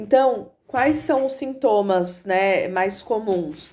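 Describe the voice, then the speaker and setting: A woman speaks at a very slow pace. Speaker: psychologist. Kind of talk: informational vlog. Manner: halting, stumbles over words.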